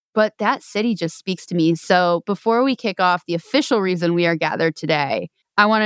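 In a very clean recording with a silent background and a dry, close sound with no echo, a woman with an American accent uses a plain, everyday voice at a moderate pace, medium pitch and ordinary pitch variation. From New York. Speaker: podcast host, association executive director. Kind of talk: casual chat.

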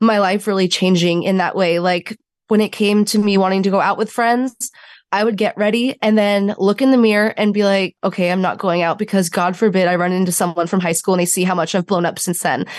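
At a fairly quick pace, a woman talks at medium pitch. The background is quiet. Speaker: social media creator and bariatric patient. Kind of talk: interview. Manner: animated.

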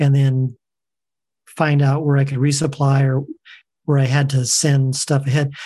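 In an American accent, the speaker has a dark, mellow, somewhat breathy tone, a moderate pace with long, frequent pauses, monotone, flat intonation and very even loudness. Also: man, fairly high pitch for a man. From Southern California. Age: 60s. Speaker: long-distance hiker. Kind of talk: interview.

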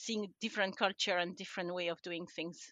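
A woman with a French accent speaks in a bright, sharp tone, the sound dry and close with no echo against a quiet background. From France. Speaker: livestock scientist. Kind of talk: interview.

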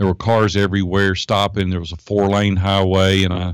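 The speaker has a Tennessee accent and talks at a fairly quick pace. The recording is very clean with a silent background. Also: man. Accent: Tennessee Southern US. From US South, Nashville, Tennessee. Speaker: entrepreneur and life coach. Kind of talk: interview. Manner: animated.

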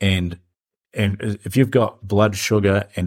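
A man with a New Zealand accent and fairly even intonation. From New Zealand, South Island. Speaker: business founder. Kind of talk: interview.

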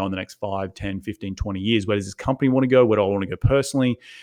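Here a man speaks with an Australian accent. His pitch is medium, with ordinary variation. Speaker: real estate investor. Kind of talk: interview.

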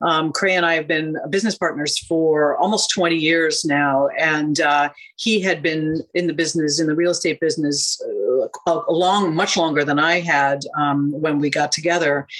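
An American accent at a moderate pace, with very even loudness, fairly even intonation, and noticeable background noise. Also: woman, very deep, low pitch for a woman. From US, university towns (Princeton, Michigan, California). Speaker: real estate broker. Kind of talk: radio interview.

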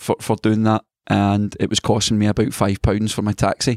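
With a Scottish accent, a man speaks at a fairly low pitch on a very clean recording with a silent background. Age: 30s. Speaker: youth football coach. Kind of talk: interview.

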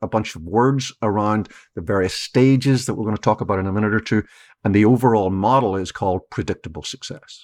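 This man speaks fairly quickly in a fairly low voice with ordinary pitch variation. The sound is dry and close with no echo, and the recording is very clean over a silent background. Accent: Irish. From Ireland. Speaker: keynote speaker and author. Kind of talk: interview.

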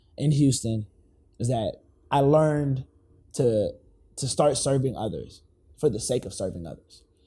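A man with an American accent, medium in pitch, somewhat breathy, at a moderate pace with long, frequent pauses. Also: ordinary pitch variation. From California, Los Angeles. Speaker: educator and author. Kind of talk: casual interview chat. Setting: studio. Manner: animated.

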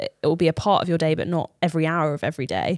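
A woman with a British accent in a very clean recording against a silent background. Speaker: podcast co-host, amateur runner. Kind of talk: casual chat. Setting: studio.

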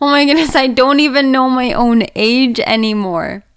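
Speaking in an animated tone, a woman uses a high pitch with ordinary pitch variation. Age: 30s. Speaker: podcast host. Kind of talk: personal monologue.

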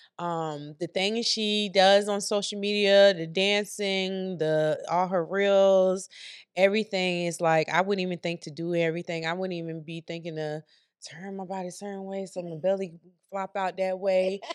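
A woman speaks at a moderate pace and medium pitch in a monotone, flat intonation. Her loudness swings widely on a very clean recording with a silent background. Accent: American. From US small town. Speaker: podcast host. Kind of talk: casual chat.

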